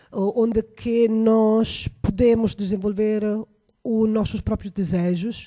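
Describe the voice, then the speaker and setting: With an Italian accent and a dark, mellow tone, the speaker moves at a very slow pace in a very clean recording with a silent background. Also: woman. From Italy. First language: Italian (speaking Portuguese). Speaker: researcher. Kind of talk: panel discussion. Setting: radio studio. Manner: halting, many fillers.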